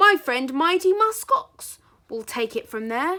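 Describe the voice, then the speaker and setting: A woman puts on a character voice, speaking at an extremely high pitch with very wide pitch swings and a fairly slow pace. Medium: read story. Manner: pompous, proclaiming.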